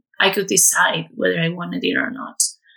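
This woman has a Spanish accent. Her tone comes across bright and sharp. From Spain, near Madrid. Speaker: online marketing and web design staff. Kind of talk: personal testimony.

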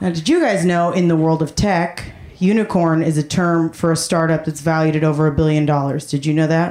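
Over noticeable background noise, a woman with a fairly low pitch talks at a fairly quick pace, with hardly any pauses, fairly even intonation and very even loudness. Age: 20s. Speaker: comedian. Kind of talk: stand-up. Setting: stage with audience.

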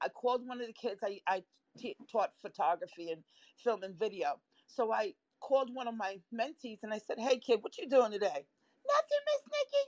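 A woman speaks in a New York accent. Her intonation is lively. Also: moderate pace. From Florida. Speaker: photography and film teacher. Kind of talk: casual chat. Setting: live online audio room.

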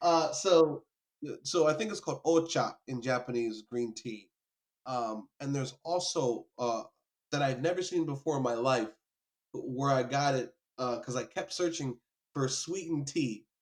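A plain, everyday voice from a man, fairly high in pitch, moderate in pace, its pitch varying in an ordinary way. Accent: American. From New York, later US South. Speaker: photographer and author. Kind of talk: casual chat.

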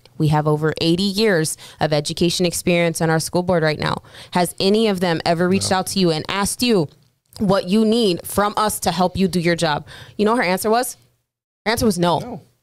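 An unremarkable speaking voice with an American accent moves at a fairly quick pace, with ordinary pitch variation and very even loudness. The recording is very clean, with a silent background. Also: woman, fairly low pitch for a woman. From US military bases (Army brat). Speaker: army veteran and school board candidate. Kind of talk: casual chat.

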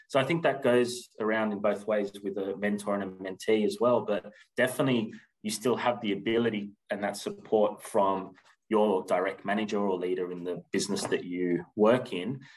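A man with an Australian accent, fairly low in pitch, with ordinary pitch variation and a moderate pace. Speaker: recruitment agency general manager. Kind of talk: interview. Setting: remote call.

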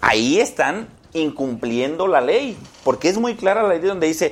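A man's high voice with very wide pitch swings. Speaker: senator. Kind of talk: political debate.

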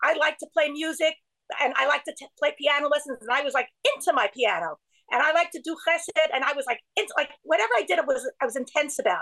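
A woman speaks at a very fast pace in a raised, projected voice, her bright, sharp tone set at a high pitch with ordinary pitch variation and a dry, close sound with no echo. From Brooklyn, New York. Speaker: writer and organization co-founder. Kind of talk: casual interview. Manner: halting, many restarts.

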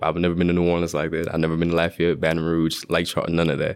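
This is a man with an American accent. His pitch is very deep and low. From Shreveport, Louisiana. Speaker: engineering student. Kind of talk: casual interview. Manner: animated.

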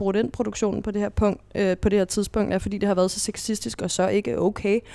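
A woman at medium pitch speaks at a very fast pace with hardly any pauses and ordinary pitch variation. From Denmark, Næstved (Zealand). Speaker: reality TV expert guest. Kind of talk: interview. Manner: halting.

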